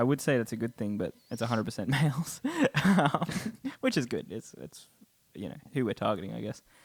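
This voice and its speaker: With an Australian accent, a man talks at a fairly quick pace, using lively intonation and vocal fry, with big swings in loudness and long, frequent pauses. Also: medium pitch for a man. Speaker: podcast co-host. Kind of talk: casual chat.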